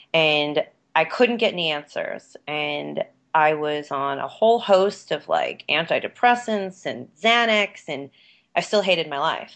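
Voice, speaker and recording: An unremarkable speaking voice from a woman, fairly low in pitch, with lively intonation against a quiet background. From New York. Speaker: yoga teacher. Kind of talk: interview conversation. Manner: casual, many fillers and laughs.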